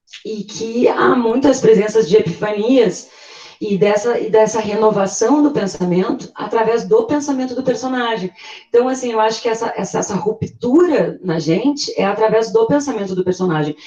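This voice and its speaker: A woman with a fairly high pitch, lively intonation and a moderate pace, against noticeable background noise. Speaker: literature discussant. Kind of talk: group discussion. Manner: hesitant, many repetitions.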